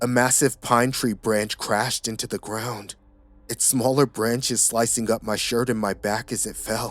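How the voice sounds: It is a natural reading voice, and the intonation is fairly even.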